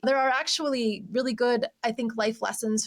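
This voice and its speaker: At a moderate pace, a woman speaks in a plain, everyday voice with fairly even intonation. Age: 40s. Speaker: decluttering coach. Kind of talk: podcast interview.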